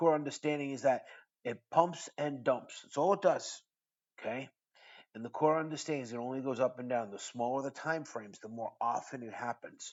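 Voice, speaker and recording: A man with a medium pitch speaks in an American accent at a moderate pace. His loudness swings widely. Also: ordinary pitch variation. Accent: New York Italian. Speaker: crypto trading educator. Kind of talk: trading tutorial monologue. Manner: animated.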